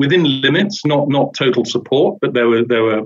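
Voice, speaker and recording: This speaker has a British accent. The pace is moderate and the intonation fairly even. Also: man. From Britain. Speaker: investigative journalist and author. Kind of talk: interview conversation. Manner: halting, many repetitions.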